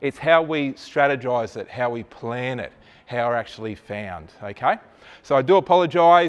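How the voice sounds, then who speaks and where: With an Australian accent, a man speaks in an animated tone full of lively intonation. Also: medium pitch for a man, moderate pace. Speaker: digital marketing presenter. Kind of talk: presentation to live audience. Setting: room with live audience, no microphone.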